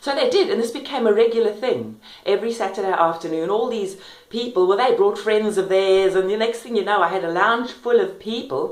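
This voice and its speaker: A woman with a South African accent speaks at a fairly quick pace and fairly high pitch, with ordinary pitch variation, audible room echo and noticeable background noise. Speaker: vlogger and self-help author. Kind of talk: personal testimony. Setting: kitchen at home. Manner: fast.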